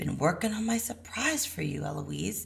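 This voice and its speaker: A woman uses a raspy, put-on character voice at a moderate pace. Light background noise can be heard. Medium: read story. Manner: warm, musing.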